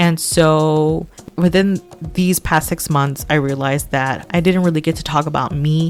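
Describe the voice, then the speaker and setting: Over music in the background, a woman with an American accent talks at a fairly slow pace in a very deep, low voice with fairly even intonation. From Texas, Houston. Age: 20s. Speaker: podcast host. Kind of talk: casual personal monologue.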